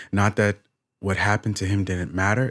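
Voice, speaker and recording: Fairly quick speech is captured in a very clean recording with a silent background. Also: man. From Bahamas. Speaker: worship leader. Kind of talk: podcast interview. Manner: halting.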